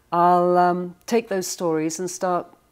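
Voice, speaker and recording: This woman's voice sits fairly low in pitch, with an English accent. She speaks at a moderate pace. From England. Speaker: author. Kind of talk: interview.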